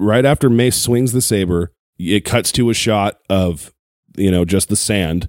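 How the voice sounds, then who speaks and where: A man's normal speaking voice at a fairly low pitch with ordinary pitch variation, dry and close with no echo, in a very clean recording against a silent background. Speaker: Star Wars fan. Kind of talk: casual chat.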